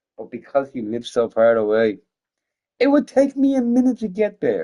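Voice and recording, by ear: A man talks at a moderate pace and a medium pitch. His dark, mellow tone swings very widely in pitch.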